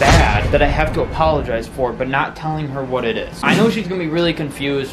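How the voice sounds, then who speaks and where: Noticeable background noise sits under a man who talks very fast. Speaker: vlogger. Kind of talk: casual vlog chat. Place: home room. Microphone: phone near.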